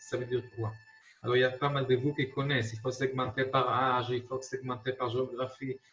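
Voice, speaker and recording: A man's medium-pitched voice with an Israeli accent, monotone and flat in intonation, at a moderate pace with big swings in loudness and noticeable background noise. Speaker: marketing consultant. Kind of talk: lecture. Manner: halting, many repetitions.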